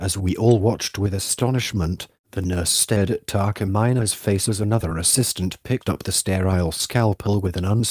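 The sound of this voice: Reading in an unforced voice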